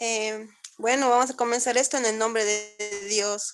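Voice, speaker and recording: A woman speaks at a high pitch. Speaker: student, invited speaker. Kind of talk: talk in an online event.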